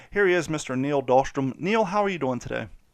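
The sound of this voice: Speaking at a fast pace, a man uses lively intonation and a fairly high pitch.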